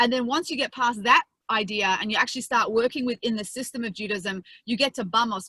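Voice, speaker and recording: A woman with an Australian accent speaks very fast at a fairly high pitch with a bright, sharp tone and ordinary pitch variation. The sound is dry and close with no echo. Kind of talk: lecture.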